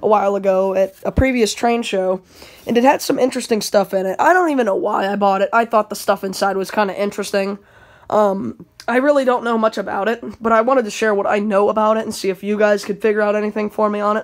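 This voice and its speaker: Very fast speech from a woman, with ordinary pitch variation and a quiet background. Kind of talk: casual vlog chat. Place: home room. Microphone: phone near.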